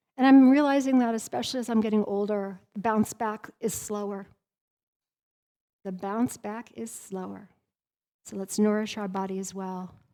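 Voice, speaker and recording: A woman with an American accent speaks in a dark, mellow tone, using long, frequent pauses. Her pitch varies in an ordinary way, while her loudness swings widely. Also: medium pitch for a woman, moderate pace. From Colorado and Wyoming. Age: 50s. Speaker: trauma recovery coach. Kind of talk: workshop talk. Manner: animated.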